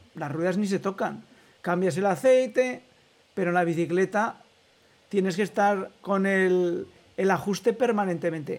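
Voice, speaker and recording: A man with a high-pitched voice talks at a fairly slow pace, with ordinary pitch variation and long, frequent pauses. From Spain, Aragon (Huesca area). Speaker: radio host. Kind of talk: interview.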